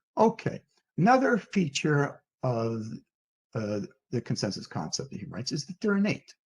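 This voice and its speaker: Pitched fairly high, this man's somewhat breathy voice moves at a moderate pace, swinging very widely in pitch, with long, frequent pauses. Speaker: philosopher. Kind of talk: lecture. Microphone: hears own echo.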